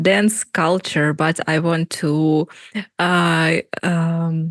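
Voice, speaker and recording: With a Russian accent, a woman speaks at a very slow pace in a dry, close sound with no echo. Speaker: podcast host. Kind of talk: casual interview chat. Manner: halting, many fillers.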